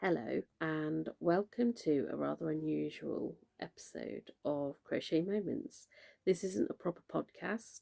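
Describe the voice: A woman's put-on character voice, very deep and low, croaky and raspy, at a fairly slow pace, with a dry, close sound and no echo.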